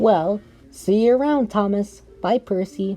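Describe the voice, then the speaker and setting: A put-on character voice, female-sounding, at a medium pitch and fairly slow pace, with faint music in the background. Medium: read story. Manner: polite, friendly.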